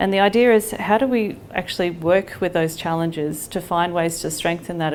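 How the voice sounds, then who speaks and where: In an Australian accent, a woman with a fairly low voice speaks at a moderate pace with ordinary pitch variation, with audible room echo. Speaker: nonprofit leader. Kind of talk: public presentation. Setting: library hall with audience.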